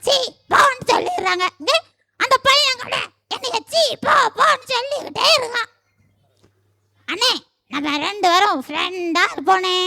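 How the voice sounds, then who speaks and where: A cartoonish character voice sits at an extremely high pitch. It moves at a fairly slow pace. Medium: puppet. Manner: sorrowful, pleading.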